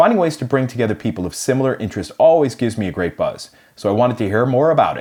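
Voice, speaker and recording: Talking at a very fast pace, a man with a Boston accent keeps a medium pitch. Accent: American Boston accent, kept. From US Northeast, Boston. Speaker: podcast host. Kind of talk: scripted intro narration; casual interview chat.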